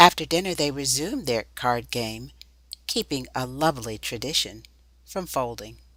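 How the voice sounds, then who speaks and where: With vocal fry and a bright, sharp tone, a woman with a very deep, low pitch speaks at a moderate pace and with lively intonation. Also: very clean recording, silent background. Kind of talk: documentary narration.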